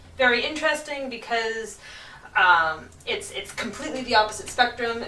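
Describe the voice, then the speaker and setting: A woman speaks at a moderate pace with lively intonation. Noticeable background noise runs behind her. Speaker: traveller. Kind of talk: casual talk to camera.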